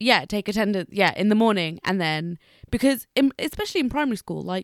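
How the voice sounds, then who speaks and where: Speaking at a fairly quick pace with lively intonation, a woman with a British accent has a medium pitch, recorded with a dry, close sound with no echo and a very clean, silent background. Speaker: podcast co-host. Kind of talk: casual chat.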